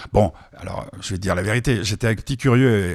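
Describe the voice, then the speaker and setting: An ordinary speaking voice moves at a fairly quick pace, with a dry, close sound and no echo. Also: man. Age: 60s. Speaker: radio host. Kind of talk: radio chat.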